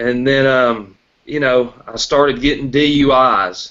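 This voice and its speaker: A man speaks in a Tennessee accent at a fairly high pitch. His intonation stays fairly even. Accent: Southern US (Tennessee). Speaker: recovering alcoholic sharing his story. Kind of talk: testimony.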